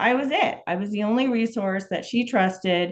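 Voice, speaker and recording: Her tone is animated as the woman speaks at a moderate pace. Her pitch varies in an ordinary way. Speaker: caregiver for an aging parent. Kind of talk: interview. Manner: loud.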